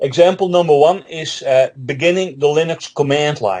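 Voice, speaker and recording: A man at a moderate pace, with a Dutch accent. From Netherlands. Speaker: Linux trainer and author. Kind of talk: interview.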